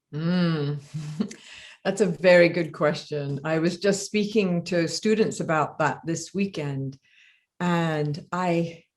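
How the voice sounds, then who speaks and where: A woman with an English accent, fairly low pitch and fairly even intonation at a very slow pace, on a very clean recording with a silent background. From England. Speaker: death doula teacher. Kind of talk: interview. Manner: halting.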